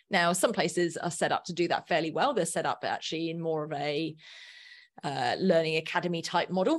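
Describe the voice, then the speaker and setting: Fairly quick speech with an Australian accent, fairly even intonation and a quiet background. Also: woman, fairly low pitch for a woman. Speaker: learning designer and podcaster. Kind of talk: casual interview chat.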